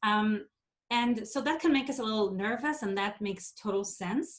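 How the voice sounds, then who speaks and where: Her pitch sits in the medium range, with ordinary variation. The woman speaks at a moderate pace in an Israeli accent. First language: Hebrew. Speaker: theatre education associate. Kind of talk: workshop presentation. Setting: video call.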